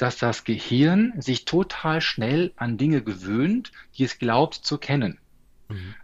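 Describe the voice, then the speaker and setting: Speaking at a very slow pace, a man uses a medium pitch with very wide pitch swings. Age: 40s. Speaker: stress management coach and speaker. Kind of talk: interview.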